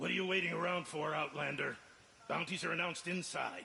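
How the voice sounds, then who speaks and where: A man puts on a raspy character voice, high pitched and at a fairly quick pace. Background noise is clearly audible. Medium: video game. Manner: gruff, dismissive.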